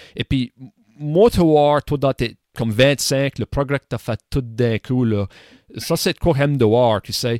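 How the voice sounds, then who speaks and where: A plain, everyday voice moves at a fairly slow pace with ordinary pitch variation. The recording is very clean with a silent background and a dry, close sound with no echo. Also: man. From Nova Scotia, Canada (Acadian). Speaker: podcast host. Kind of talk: casual chat.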